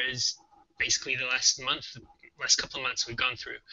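A man is speaking. The background is quiet. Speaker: game programmer and co-host. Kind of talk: tutorial, live coding. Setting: live stream online. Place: home room. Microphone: webcam.

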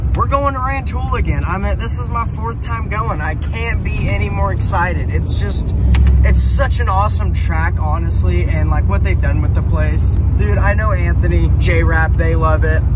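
Loud background noise surrounds a man talking at a moderate pace, his voice dry with no echo. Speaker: vlogger. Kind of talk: casual vlog chat. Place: car. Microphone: phone near.

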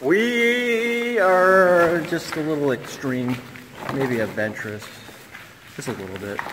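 The voice belongs to a man. Background noise is noticeable behind him. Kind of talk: casual vlog chat. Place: tunnel cave. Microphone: phone near.

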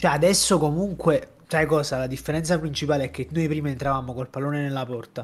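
A man with a fairly high voice and a somewhat breathy sound. He talks very fast with hardly any pauses. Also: fairly even intonation. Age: 20s. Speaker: football podcast host. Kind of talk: casual football analysis chat. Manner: casual, conversational.

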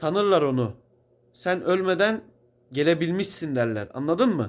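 With lively intonation and a fairly high pitch, a man speaks at a moderate pace in a very clean recording with a silent background. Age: 20s. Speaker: video blogger. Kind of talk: spiritual monologue. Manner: casual, conversational.

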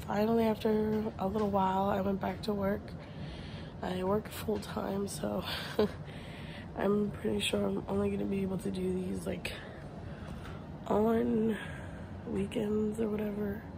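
A woman speaks with long, frequent pauses over noticeable background noise. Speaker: vlogger. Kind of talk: casual vlog chat. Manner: slow, drowsy, low-energy talk lying down. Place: home room. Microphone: phone near.

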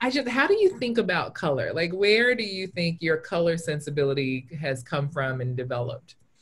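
At a fairly quick pace with hardly any pauses, the voice is somewhat breathy and moves through very wide pitch swings. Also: woman, fairly low pitch for a woman. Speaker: illustrator and teacher; teacher. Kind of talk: casual chat. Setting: video call. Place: home room. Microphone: video call.

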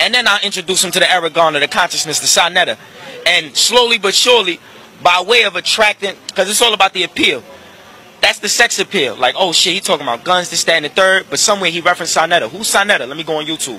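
In a raised, projected voice, a man talks at a very fast pace. There is ordinary pitch variation and a dry sound with no echo. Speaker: interviewee. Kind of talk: interview question, animated argument. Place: street. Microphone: handheld.

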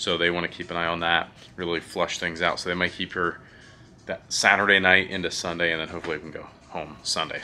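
Faint music plays in the background. A man speaks at a fairly quick pace with a very deep, low pitch and monotone, flat intonation. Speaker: parent vlogger. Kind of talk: casual vlog chat. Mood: calm, informative. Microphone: phone near.

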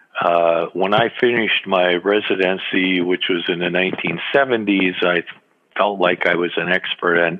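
Over noticeable background noise, a man with an American accent speaks at a very deep, low pitch. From US Midwest (Wisconsin and Illinois). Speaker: retired neurologist. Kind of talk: interview. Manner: halting, many fillers.

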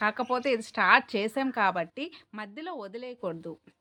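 Bright and sharp in tone, a woman speaks at a high pitch. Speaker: YouTuber. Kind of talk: monologue vlog. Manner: clear.

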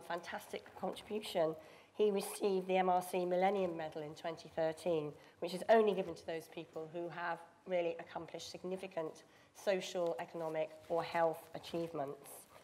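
The speaker has a British accent and monotone, flat intonation. The loudness swings a lot. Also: woman, fairly low pitch for a woman, moderate pace. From United Kingdom. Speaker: panel chair and biotech executive. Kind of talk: panel discussion. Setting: stage with audience. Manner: halting. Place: hall.

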